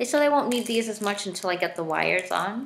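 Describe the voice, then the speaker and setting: Speech from a woman, with noticeable background noise throughout. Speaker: vlogger documenting braces. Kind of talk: casual video diary. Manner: hesitant, many fillers.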